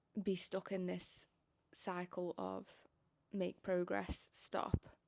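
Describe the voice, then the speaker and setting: A woman speaks quietly at a very slow pace. The sound is dry and close, with no echo. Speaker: vlogger. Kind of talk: casual vlog monologue. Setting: at home.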